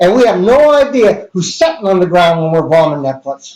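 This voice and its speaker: A loud man's voice with lively intonation. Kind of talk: casual chat. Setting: live stream.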